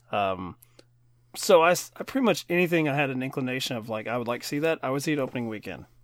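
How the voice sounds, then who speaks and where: A man with a slight Kentucky accent talks at a very fast pace, his intonation lively. The recording is very clean, with a silent background. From Kentucky, US. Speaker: film podcast co-host. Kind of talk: casual chat.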